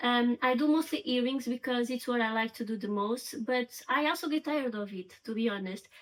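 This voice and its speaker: With a Portuguese accent, a high-pitched woman talks at a fairly quick pace with hardly any pauses. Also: ordinary pitch variation. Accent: Portuguese, noticeable. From Portugal. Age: 30s. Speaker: crochet crafter and vlogger. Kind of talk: casual get-to-know-me vlog.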